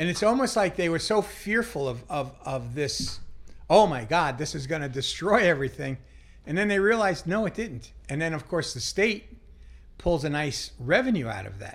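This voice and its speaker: A man with an American accent speaks at a moderate pace. His voice has vocal fry and very wide pitch swings. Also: fairly high pitch for a man. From Long Island, New York. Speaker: charity kitchen director, former casino executive. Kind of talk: casual interview. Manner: repetitive, stammering restarts.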